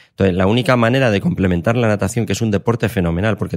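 The man's voice shows ordinary pitch variation in a very clean recording with a silent background. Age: 50s. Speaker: sports science professor and coach. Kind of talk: interview.

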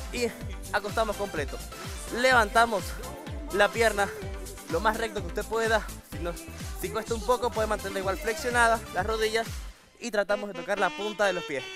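Over clear background music, a man talks at a fairly quick pace in a dry sound with no echo. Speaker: fitness instructor. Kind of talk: tutorial. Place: studio. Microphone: lapel.

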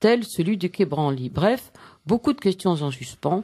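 The background stays quiet. Speech comes at a fairly slow pace. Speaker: radio newsreader. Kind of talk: news bulletin reading. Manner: measured, formal, crisp newsreader delivery. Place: studio.

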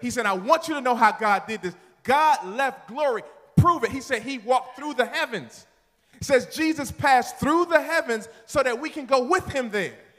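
Against a quiet background, a man with an extremely high pitch talks in an animated tone with lively intonation at a moderate pace. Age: 40s. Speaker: pastor. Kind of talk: sermon. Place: church. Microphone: handheld.

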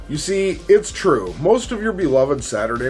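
Faint background music under a man talking at a medium speed. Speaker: video host. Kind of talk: commentary. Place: studio.

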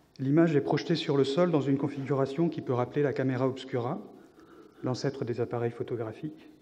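A man talks at a fairly quick pace with a fairly high pitch and fairly even intonation over light background noise. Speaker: visual artist and scientific researcher. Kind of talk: conference talk. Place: hall.

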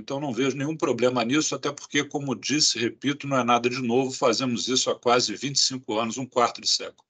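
Here a man is speaking. His pitch is medium. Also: quiet background. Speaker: health agency director. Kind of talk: press conference. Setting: video call. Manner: formal. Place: office. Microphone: video call.

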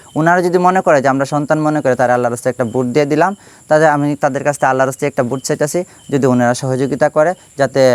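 A normal speaking voice from a man, fairly high in pitch, with fairly even intonation and a dry, close sound with no echo. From Bangladesh, Sunamganj (Sylhet region). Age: 30s. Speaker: local election candidate. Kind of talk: interview.

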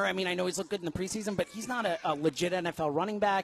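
A man with an American accent, high-pitched for a man, talking at a very fast pace with fairly even intonation over light background noise. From New York. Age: 30s. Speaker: sports podcaster. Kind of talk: sports talk radio. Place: studio.

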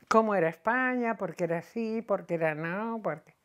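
In a Madrid accent, a woman speaks at a fairly slow pace with ordinary pitch variation against a quiet background. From Madrid (Chamberí), born in Cantabria; Madrid, Spain. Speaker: retired teacher telling her life story. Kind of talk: oral history interview. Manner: halting, with frequent repetitions. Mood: reminiscing, warm. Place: home room. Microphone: lapel.

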